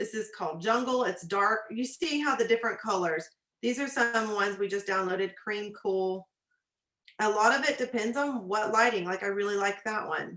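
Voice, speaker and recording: With an animated tone, a woman speaks at a moderate pace in a fairly high voice with ordinary pitch variation. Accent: Texan. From Texas. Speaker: nurse and business coach. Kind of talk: tutorial. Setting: video call.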